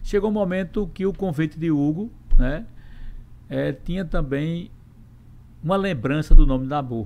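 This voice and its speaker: Pausing long and often, a man with a fairly high voice and a dark, mellow tone speaks at a fairly slow pace with lively intonation. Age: 60s. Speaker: state legislature president, politician. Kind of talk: interview.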